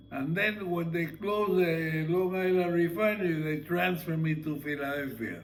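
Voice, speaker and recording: A high-pitched man's voice at a moderate pace, hardly any pauses, fairly even intonation and noticeable background noise. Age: 90s. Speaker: family elder, retired sugar refinery worker. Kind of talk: casual family conversation. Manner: halting.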